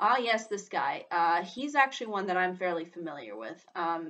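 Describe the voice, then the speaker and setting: At a moderate pace, a woman talks in a bright, sharp tone. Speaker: vlogger discussing voice actors. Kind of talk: casual vlog commentary. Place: home room. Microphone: webcam.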